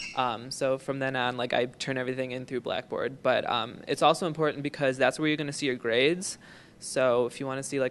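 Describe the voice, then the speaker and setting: An unremarkable speaking voice from a man, medium in pitch and at a fairly quick pace. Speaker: student orientation leader. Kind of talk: orientation talk, casual anecdote.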